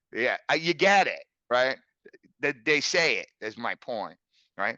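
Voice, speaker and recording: In a quiet background with a dry, close sound and no echo, a man speaks loud at a fairly slow pace with a fairly high pitch. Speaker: physics teacher leading a teacher workshop. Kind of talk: online workshop lecture. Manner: animated, filler-heavy.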